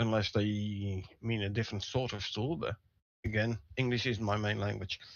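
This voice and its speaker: Speaking with a non-native accent, a man uses a fairly low pitch, a moderate pace and fairly even intonation. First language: not English. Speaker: gaming livestream co-host. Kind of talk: casual live discussion. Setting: livestream.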